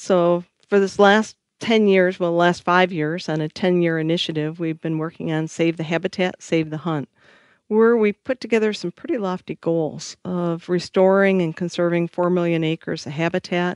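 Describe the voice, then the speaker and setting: A woman with an American accent and a normal speaking voice, fairly low in pitch, at a moderate pace with fairly even intonation, dry and close with no echo over a quiet background. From Michigan, US Midwest. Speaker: conservation organization CEO. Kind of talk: interview conversation.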